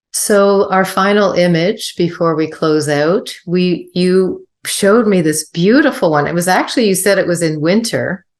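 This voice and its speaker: A woman with an ordinary speaking voice, medium pitch and ordinary pitch variation, at a moderate pace with hardly any pauses and very even loudness. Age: 60s. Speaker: podcast host. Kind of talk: interview conversation.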